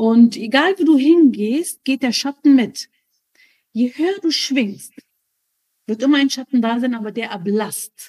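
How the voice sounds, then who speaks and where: A woman with a high voice, a dark, mellow tone and an Arabic accent speaks at a fairly slow pace with lively intonation and long, frequent pauses. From Germany, raised from age three, born in Lebanon. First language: Arabic (speaking German). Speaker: spiritual guest, mother. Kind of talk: personal testimony interview.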